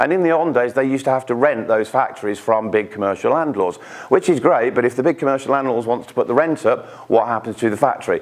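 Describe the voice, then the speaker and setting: The pace is very fast. A man talks at medium pitch with ordinary pitch variation. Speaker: pension expert speaker. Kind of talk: presentation to live audience. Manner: halting, frequent repetitions.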